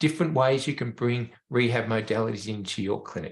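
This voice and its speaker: At a fairly quick pace, a man speaks in a somewhat breathy way. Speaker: veterinarian, rehab educator. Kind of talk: webinar presentation.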